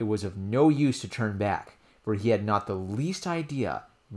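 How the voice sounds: Reading in a natural voice.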